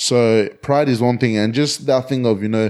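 This man has a normal speaking voice. His medium pitch holds a fairly even intonation. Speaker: podcast co-host. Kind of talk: casual chat.

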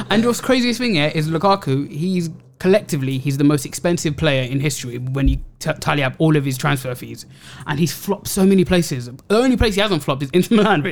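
A man with a London accent, fairly high in pitch, with lively intonation at a very fast pace. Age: 30s. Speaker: football podcast co-host. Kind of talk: casual chat.

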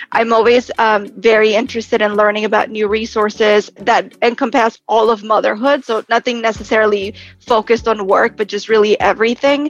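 A woman with an American accent speaks at a fairly quick pace with hardly any pauses, her fairly high voice in a monotone, flat intonation. The sound is dry and close with no echo, with music in the background. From Texas. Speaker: entrepreneur and founder of a moms' community. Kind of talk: podcast interview.

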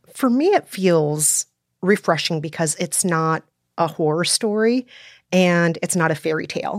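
With an American accent and an ordinary speaking voice, a woman talks at a moderate pace and fairly low pitch with ordinary pitch variation, in a very clean recording with a silent background and a dry, close sound with no echo. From Minnesota, US. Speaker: podcast host and film commentator. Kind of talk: casual panel discussion.

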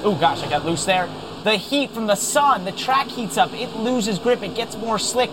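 A man with a high pitch and ordinary pitch variation talks at a moderate pace against noticeable background noise. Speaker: racing driver. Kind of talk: live race commentary from the sim. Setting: in a simulator. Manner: relaxed, chatty, self-deprecating.

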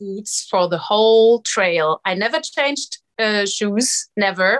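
The sound is dry and close, with no echo. A woman speaks in a German accent. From Germany. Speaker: trail hiker and illustrator.

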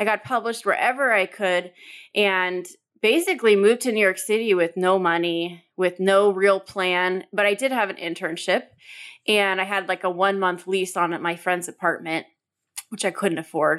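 With an American accent, a woman speaks in a plain, everyday voice at medium pitch, a moderate pace and fairly even intonation on a very clean recording with a silent background. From US, Southern California (Orange County). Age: 30s. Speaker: customer experience consultant and author. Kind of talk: interview.

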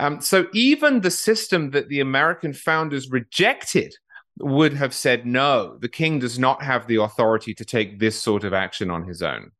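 Against a quiet background, a man with a British accent talks at a moderate pace, his medium pitch making very wide swings. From England. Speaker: political writer, podcaster. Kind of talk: interview.

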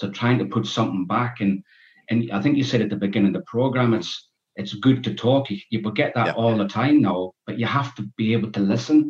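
Talking at a moderate pace, a man with a northeast English accent has a medium pitch. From northeast England, Berwick-upon-Tweed. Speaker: author and reformed gangster. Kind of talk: podcast interview. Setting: video call. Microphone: poor sound quality over zoom.

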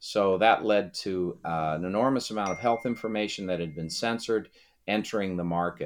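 Against a quiet background, a man with an ordinary speaking voice talks at a fairly quick pace with a fairly low pitch. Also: ordinary pitch variation. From Massachusetts. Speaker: constitutional lawyer and Senate candidate. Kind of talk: interview.

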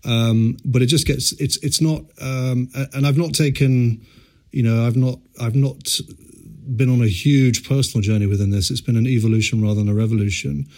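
A man talks at a moderate pace with medium pitch and ordinary pitch variation. His is an unremarkable speaking voice. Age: 40s. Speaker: startup founder and CEO. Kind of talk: interview.

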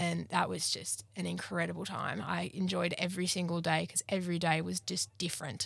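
A woman talks at a fairly quick pace in an Australian accent. She leaves hardly any pauses. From rural New South Wales, Australia. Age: 20s. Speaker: agriculture student. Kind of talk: interview. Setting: mobile podcast van at a field day. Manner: loud.

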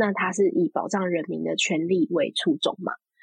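A woman talks at a moderate pace with very wide pitch swings. The sound is dry and close, with no echo. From Taiwan, Taipei. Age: 30s. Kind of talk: interview conversation.

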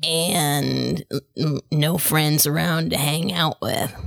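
A woman's raspy put-on character voice, very deep and low in pitch, at a very slow pace. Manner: relaxed, mild, a little hesitant.

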